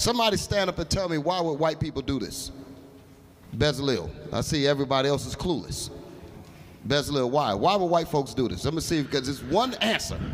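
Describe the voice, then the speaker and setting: Lively intonation runs through fairly quick speech broken by long, frequent pauses. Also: man, fairly high pitch for a man. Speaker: religious teacher. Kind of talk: bible class. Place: hall. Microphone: handheld.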